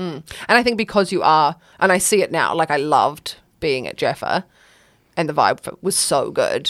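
A woman speaks in a New Zealand accent, recorded very cleanly against a silent background. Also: moderate pace. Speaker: spoken word poet. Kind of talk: casual chat.

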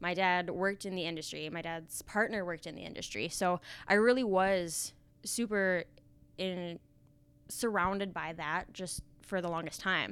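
A woman speaks with an Upper Midwest accent at a medium pitch and a moderate pace. The recording is very clean, with a silent background. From North Dakota. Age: 20s. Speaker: benefits company trainer. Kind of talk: interview.

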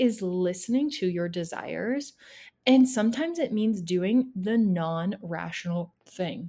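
With a Canadian accent, a woman speaks at medium pitch in a dark, mellow, somewhat breathy tone. Her intonation is lively, her pace fairly slow, and the recording is very clean with a silent background. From Ontario, Canada (small town near Toronto). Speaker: podcast host, women's coach. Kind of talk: solo casual monologue. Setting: at home in a cabin, sitting on the floor. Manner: animated.

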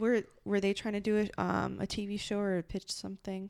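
On a very clean recording with a silent background, a woman speaks at a medium pitch with monotone, flat intonation. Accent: American. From Los Angeles. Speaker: improviser and podcast co-host. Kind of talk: casual chat. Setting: at home.

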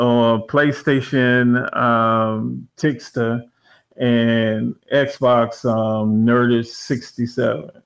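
A man with an American accent speaks at a very slow pace. His voice sits at a medium pitch. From Washington DC area. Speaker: animator and gamer. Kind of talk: casual chat.

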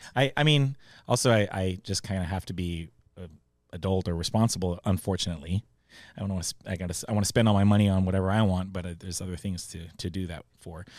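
Someone with an American accent talks at a very fast pace, with ordinary pitch variation and big swings in loudness. The recording is very clean, with a silent background. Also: man, very deep, low pitch for a man. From San Diego area, California. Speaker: chef and musician. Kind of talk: casual chat. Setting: studio.

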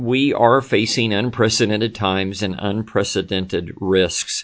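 Fairly low in pitch, a man talks with fairly even intonation. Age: 50s. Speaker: pastor. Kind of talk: sermon recap recorded at desk. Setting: at a desk, not in church. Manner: many filler words (um, uh).

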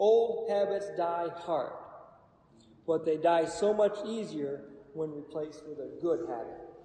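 A man at a high pitch and a fairly slow pace, with ordinary pitch variation, audible room echo and noticeable background noise. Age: 40s. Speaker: Bible study teacher. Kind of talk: Bible study teaching.

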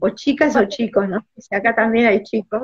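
The speaker is a woman. She talks in a Rioplatense accent. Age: 60s. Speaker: astrologer. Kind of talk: casual chat.

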